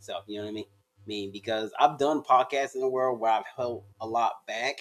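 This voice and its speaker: Someone speaks with a Southern US accent at a moderate pace. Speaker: stand-up comedian. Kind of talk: casual interview chat.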